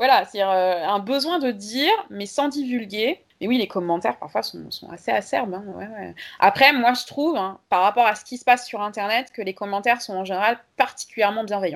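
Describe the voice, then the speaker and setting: A woman with a plain, everyday voice at medium pitch, ordinary pitch variation, moderate pace, big swings in loudness and hardly any pauses. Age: 30s. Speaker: history and geography teacher, feminist activist. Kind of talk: interview.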